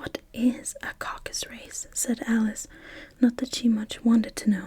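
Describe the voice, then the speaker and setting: Soft-spoken and gentle in tone, a woman talks at a fairly slow pace with a high pitch and a dark, mellow tone. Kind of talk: soft-spoken ASMR bedtime story reading. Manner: soft-spoken, gentle, slow.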